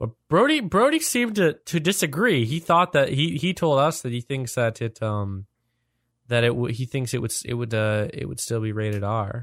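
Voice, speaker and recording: Lively intonation marks a plain, everyday voice at a moderate pace. The recording is very clean, with a silent background and a dry, close sound with no echo. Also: man, medium pitch for a man. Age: young. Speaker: podcast host. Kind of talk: casual chat.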